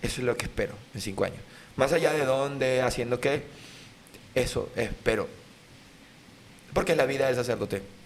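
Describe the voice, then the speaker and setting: At a moderate pace and medium pitch, a man speaks in a Venezuelan accent over noticeable background noise. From Venezuela, Lara state (Sarare). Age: 30s. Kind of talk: casual interview chat.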